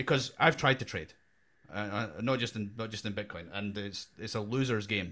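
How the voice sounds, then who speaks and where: At a moderate pace, a man talks with a bright, sharp tone and a fairly low pitch. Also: ordinary pitch variation. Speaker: podcast co-host. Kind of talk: casual chat.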